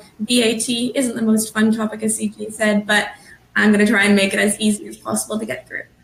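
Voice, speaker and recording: A woman talks at a very fast pace in a fairly high, monotone, flat voice with big swings in loudness. Noticeable background noise runs underneath. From Canada. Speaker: business development manager at a tax services firm. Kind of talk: webinar presentation.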